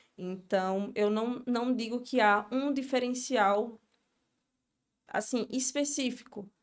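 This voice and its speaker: A woman with a high pitch and a strong northeastern Brazilian accent speaks at a very slow pace, with fairly even intonation and long, frequent pauses. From Brazil, Northeast (Sergipe). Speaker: beauty entrepreneur and mentor. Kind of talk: podcast interview.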